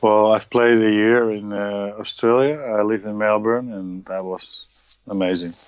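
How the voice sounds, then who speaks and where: Using fairly even intonation, a man with a Dutch accent speaks at a fairly slow pace and a fairly low pitch. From Netherlands, Emmen. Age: 40s. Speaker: retired footballer and coach. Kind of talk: interview.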